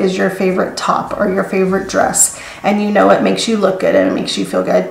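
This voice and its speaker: Very fast speech from a woman comes through audible room echo and noticeable background noise. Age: 50s. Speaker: flight attendant. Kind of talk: tutorial. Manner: hesitant fillers.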